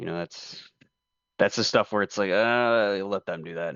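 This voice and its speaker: The man has a normal speaking voice with fairly even intonation. His pitch is fairly low. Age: 20s. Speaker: aerospace engineering graduate student. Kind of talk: casual chat. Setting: conference call.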